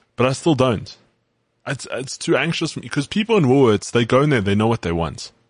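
This very fast voice has very wide pitch swings and vocal fry. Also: man, medium pitch for a man. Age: 20s. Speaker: sports podcast co-host. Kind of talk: casual chat.

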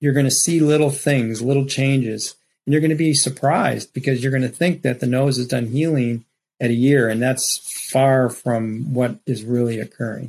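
Here is a man with a normal speaking voice, medium in pitch, talking at a moderate pace with fairly even intonation. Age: 60s. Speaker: rhinoplasty surgeon. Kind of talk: expert interview with slide presentation.

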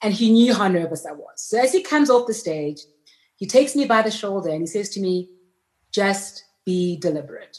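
A woman's somewhat breathy voice runs at a fairly quick pace, full of lively intonation. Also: medium pitch for a woman. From South Africa, near Pretoria. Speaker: bank CEO. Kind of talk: interview. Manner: fast talker.

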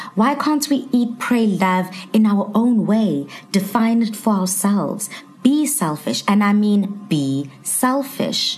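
A woman talks with lively intonation at a medium pitch. Room echo is audible, and background noise is noticeable. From South Africa, Durban. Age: 20s. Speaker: TV presenter. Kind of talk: casual chat.

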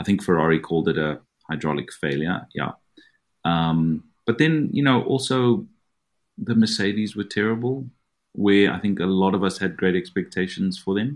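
A plain, everyday voice from a man, fairly low in pitch, with lively intonation. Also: moderate pace. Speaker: motorsport analyst and publisher. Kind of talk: panel discussion about F1.

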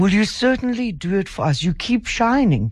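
Somewhat breathy, a woman speaks at a moderate pace with very wide swings in pitch. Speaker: radio host. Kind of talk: radio interview. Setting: radio studio.

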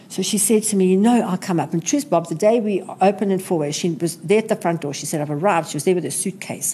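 The woman talks at a very fast pace with ordinary pitch variation. Her tone is dark and mellow. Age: 60s. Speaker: retail entrepreneur. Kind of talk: interview. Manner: energetic.

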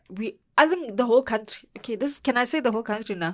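Speaking with a South African accent, a woman sounds animated at a fairly quick pace, her pitch varying in an ordinary way. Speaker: entertainment podcast co-host. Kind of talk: casual entertainment news chat.

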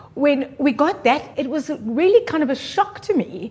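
Noticeable background noise sits behind a woman talking at a moderate pace. Her intonation is lively. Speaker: radio presenter and producer. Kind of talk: casual interview chat.

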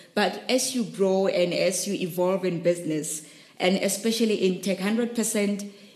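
Noticeable background noise sits under a voice that moves at a fairly slow pace with fairly even intonation. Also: woman. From South Africa, Rustenburg. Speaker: startup founder and CEO. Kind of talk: podcast interview.

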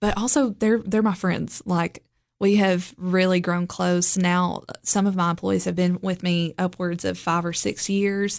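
A woman speaks with a Tennessee accent at a medium pitch. Her intonation is monotone and flat. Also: fairly slow pace, very even loudness, quiet background. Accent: Southern US (Tennessee). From Middle Tennessee (Lebanon). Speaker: boutique owner. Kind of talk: interview.

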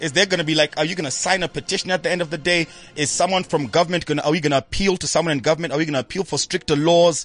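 Fairly high in pitch, a man talks at a very fast pace with hardly any pauses. The sound is dry and close, with no echo. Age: 30s. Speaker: radio host. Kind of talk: casual chat. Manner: animated.

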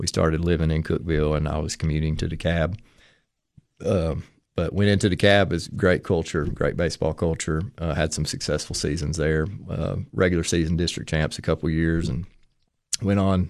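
With an East Tennessee accent, a man at a very deep, low pitch speaks at a moderate pace with fairly even intonation against a quiet background. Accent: Southern US (East Tennessee). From US South, Tennessee (Madisonville). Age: 30s. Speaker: high school athletic director and former baseball coach. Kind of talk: casual interview.

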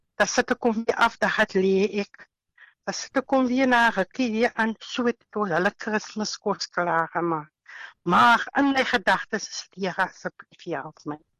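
Against a quiet background, a woman talks in an ordinary speaking voice, fairly high in pitch with ordinary variation, the sound dry and close with no echo. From Western Cape, South Africa. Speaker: housewife sharing COVID recovery testimony. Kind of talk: testimony.

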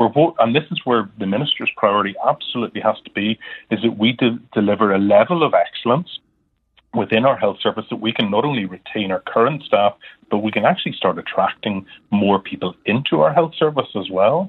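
Here is an ordinary speaking voice from a man at a medium pitch. He moves at a fairly quick pace with lively intonation. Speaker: doctor, GP representative. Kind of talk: radio interview.

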